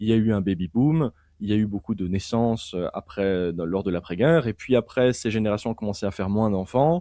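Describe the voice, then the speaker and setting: Against a quiet background, a man with a dark, mellow tone and a fairly low pitch talks at a fairly quick pace. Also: ordinary pitch variation. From Belgium, Liège (French-speaking). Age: 20s. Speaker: political philosophy author and commentator. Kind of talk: interview discussion. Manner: halting, many repetitions and fillers.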